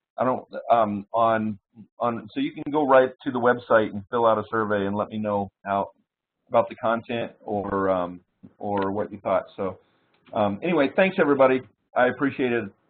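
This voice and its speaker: A man's medium pitch varies in an ordinary way as he talks at a moderate pace. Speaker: sales trainer. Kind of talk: webinar presentation. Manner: halting.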